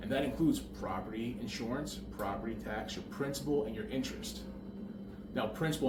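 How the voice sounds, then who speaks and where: Very fast speech with lively intonation, audible room echo and noticeable background noise. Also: man. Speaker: real estate broker. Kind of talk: explainer tutorial. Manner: casual, conversational.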